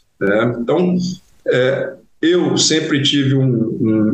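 The speaker's ordinary pitch variation comes through audible room echo. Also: man. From Brazil, interior of Goiás. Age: 40s. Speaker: engineering company founder and CEO. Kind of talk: interview conversation. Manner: hesitant, frequent fillers and repetitions.

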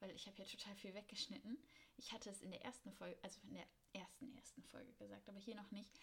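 A woman speaks at a very fast pace with vocal fry and a medium pitch. Her intonation is fairly even. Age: 20s. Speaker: podcast host, master's student. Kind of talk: casual monologue. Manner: spontaneous, chatty.

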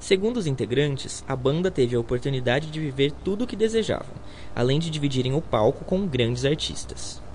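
A man's fairly high voice with lively intonation at a fairly quick pace over noticeable background noise. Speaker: student radio host. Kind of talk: scripted narration.

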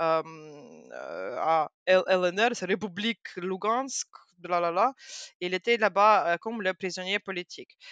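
Against a quiet background, a woman talks very slowly, leaving long, frequent pauses. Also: medium pitch for a woman, ordinary pitch variation, dry, close sound with no echo. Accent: Russian. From Ukraine, Kharkiv. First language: Russian (speaking French). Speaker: doctoral researcher in social sciences. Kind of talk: interview. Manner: halting.

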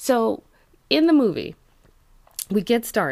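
An animated woman speaks in a fairly high pitch with very wide pitch swings and vocal fry, on a very clean recording with a silent background. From California (San Jose). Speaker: podcast co-host. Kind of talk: casual chat.

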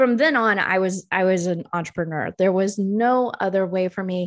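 Speaking with a Southern US accent and lively intonation, the voice moves at a moderate pace over a quiet background. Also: woman. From Tennessee. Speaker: podcast host, business coach. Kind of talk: solo podcast monologue. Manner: casual, with filler words.

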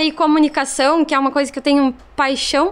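A woman speaks with a southern Brazilian accent. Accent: gaúcho Brazilian Portuguese. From Rio Grande do Sul, Brazil. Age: 30s. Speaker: social media influencer and shop owner. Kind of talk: casual podcast interview.

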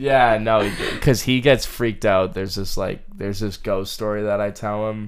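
This man has a New England accent and a fairly low pitch. He keeps a moderate pace with fairly even intonation. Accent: New England American. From central Massachusetts. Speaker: college student running a marathon for charity. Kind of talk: casual interview chat.

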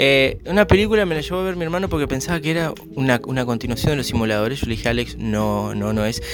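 A man at a very fast pace with hardly any pauses, over music in the background. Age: 20s. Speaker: podcaster. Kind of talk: casual chat.

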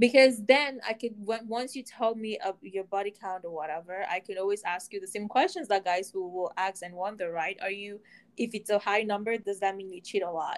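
On a very clean recording with a silent background, a woman with a plain, everyday voice talks fairly quickly at a medium pitch, with hardly any pauses, ordinary pitch variation and big swings in loudness. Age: 20s. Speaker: podcast co-host. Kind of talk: casual chat.

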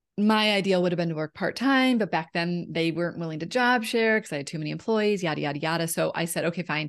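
It's a plain, everyday voice against a quiet background. The pace is fairly quick, and the pitch varies in an ordinary way. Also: woman. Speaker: women's empowerment coach. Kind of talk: casual interview chat.

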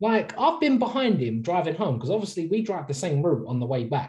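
Very wide pitch swings run through this man's speech. His voice is somewhat breathy. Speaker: podcast co-host. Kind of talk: casual chat. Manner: casual, chatty.

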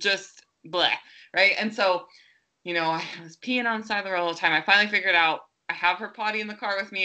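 A woman speaks at a very fast pace in a bright, sharp tone against a quiet background. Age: 30s. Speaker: podcast co-host and mother. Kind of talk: casual chat.

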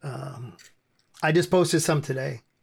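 The man's voice is fairly high and somewhat breathy. He speaks at a fairly slow pace. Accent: American. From US. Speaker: hardcore band frontman. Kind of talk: podcast interview. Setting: remote call.

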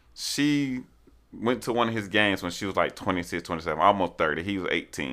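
Over a very clean recording with a silent background, a bright, sharp voice with vocal fry moves at a fairly quick pace with lively intonation. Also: man, very deep, low pitch for a man. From Montgomery, Alabama. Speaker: graduate student. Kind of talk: casual chat.

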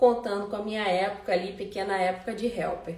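A woman is heard over noticeable background noise with audible room echo. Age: 30s. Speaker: house cleaning business coach. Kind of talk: live webinar class. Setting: Instagram live stream.

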